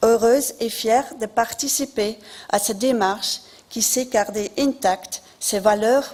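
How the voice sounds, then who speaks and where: With a non-native accent, a woman speaks at a very slow pace in a fairly high pitch and fairly even intonation, over noticeable background noise. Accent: noticeable foreign accent in French. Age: 50s. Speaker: local election candidate. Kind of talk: campaign speech. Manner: formal.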